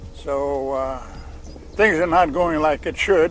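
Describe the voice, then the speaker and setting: A man speaks at a very slow pace with ordinary pitch variation. The sound is dry with no echo, and music plays behind him. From South Dakota, Crow Creek Reservation. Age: 80s+. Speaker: cattle rancher. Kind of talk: oral history storytelling. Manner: slow, hesitant. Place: waterside.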